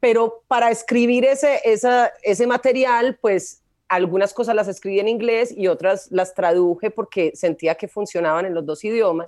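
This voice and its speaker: A woman's plain, everyday voice, fairly high in pitch, at a moderate pace with ordinary pitch variation and hardly any pauses. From Medellín, Colombia. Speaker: comedian. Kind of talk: casual chat.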